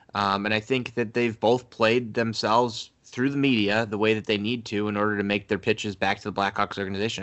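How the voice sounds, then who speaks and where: A man with an American accent speaks at a fairly quick pace in an ordinary speaking voice. His fairly low pitch keeps fairly even intonation. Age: 20s. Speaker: sports podcast co-host. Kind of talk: casual chat.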